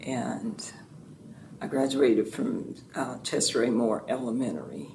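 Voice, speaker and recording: Speaking at a fairly slow pace, a woman's voice carries audible room echo. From US South, Fort Pierce, Florida. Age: 70s. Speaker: retired educator and former state representative. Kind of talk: oral history interview.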